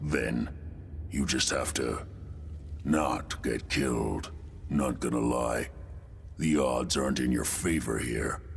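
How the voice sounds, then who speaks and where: Putting on a character voice, this man speaks fairly slowly with clear background noise behind him. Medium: machinima. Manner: earnest, practical.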